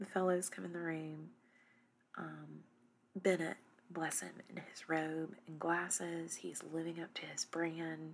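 A quiet woman at a fairly slow pace. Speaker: TV recap podcast host. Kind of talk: casual recap monologue. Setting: dark room at home, in a recliner. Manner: quiet, hushed.

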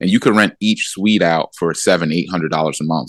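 A man with an American accent speaks at a very deep, low pitch with fairly even intonation. The sound is dry and close, with no echo. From US, Philadelphia. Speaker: real estate mentor and developer. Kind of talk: interview.

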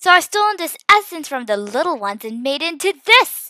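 Doing a put-on character voice, a woman speaks at a moderate pace with a high pitch, big pitch swings and a bright, sharp tone, in a dry, close sound with no echo.

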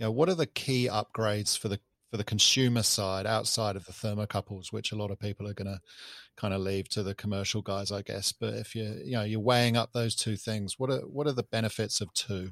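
A man with a New Zealand accent, fairly low pitch, fairly quick pace and fairly even intonation, on a very clean, dry, close recording with a silent background and no echo. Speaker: podcast host. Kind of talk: casual chat.

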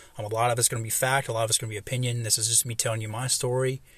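A man with an American accent speaks at a medium pitch in a somewhat breathy, monotone, flat voice. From US South, Kentucky and Atlanta. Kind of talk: solo devotional talk. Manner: halting, many fillers.

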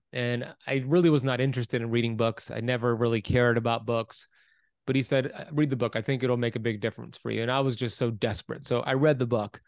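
Against a quiet background, a man with an American accent talks very fast at medium pitch, his intonation fairly even. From US, Miami Florida. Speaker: author and health coach. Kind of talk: interview.

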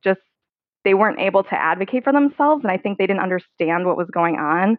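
A woman with medium pitch talks at a very fast pace with lively intonation. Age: 30s. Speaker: person living with type 1 diabetes. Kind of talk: casual interview.

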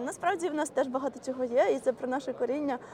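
There is noticeable background noise behind a woman's voice. Her pitch is high, with ordinary variation. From Ukraine. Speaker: community organizer. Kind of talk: casual chat. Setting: outdoors.

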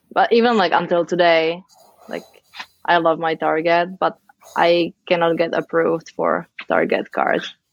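At a moderate pace with long, frequent pauses, someone speaks in a Czech accent, the sound dry and close with no echo. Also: woman. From Czech Republic, Pilsen. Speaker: immigrant guest. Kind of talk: casual chat.

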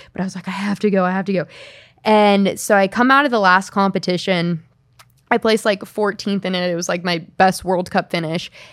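A woman's medium-pitched voice at a fairly quick pace, fairly even in intonation: a plain, everyday voice. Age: 20s. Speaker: Olympic snowboarder. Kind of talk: casual chat.

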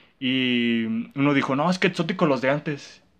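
A man with a fairly high pitch talks in an ordinary speaking voice with ordinary pitch variation against a quiet background. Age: young. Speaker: podcast co-host. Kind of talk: casual chat.

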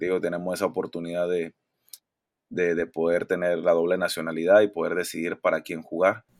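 In a very deep, low voice with monotone, flat intonation, a man speaks at a fairly quick pace, the sound dry and close with no echo. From Mexico (Monterrey) and Panama. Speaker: professional basketball player. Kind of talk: interview.

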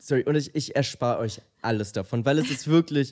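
Lively intonation marks a man speaking at a moderate pace with a medium pitch. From Germany, Munich. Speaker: podcast co-host. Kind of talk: casual chat. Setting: studio.

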